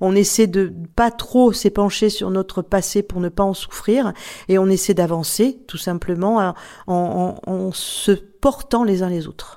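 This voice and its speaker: A woman's very slow, dark, mellow voice at a medium pitch, with ordinary pitch variation, on a very clean recording with a silent background. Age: 60s. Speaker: author, former radio host. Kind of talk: testimony.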